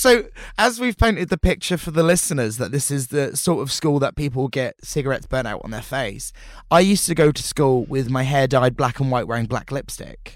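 On a very clean recording with a silent background, a man with a fairly high pitch speaks at a fairly quick pace with lively intonation. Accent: Portsmouth. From Portsmouth, southern England. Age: 30s. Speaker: drag performer. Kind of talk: casual chat.

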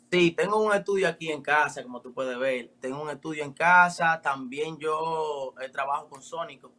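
With a Dominican accent, a man speaks at a moderate pace with hardly any pauses, in a fairly high voice with ordinary pitch variation. His tone is bright and sharp, and his loudness swings widely. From Dominican Republic. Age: 20s. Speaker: rapper. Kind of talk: interview. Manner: casual.

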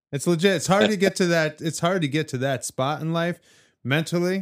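The recording is very clean, with a silent background. A man with a fairly high pitch speaks at a moderate pace, his pitch varying in an ordinary way. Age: 40s. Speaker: podcast co-host. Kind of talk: casual chat. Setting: studio.

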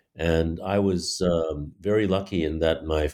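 Recorded very cleanly against a silent background, a man with an American accent speaks in a very deep, low pitch with ordinary pitch variation. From Taiwan (elementary school in the US). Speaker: playwright. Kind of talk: interview. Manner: halting.

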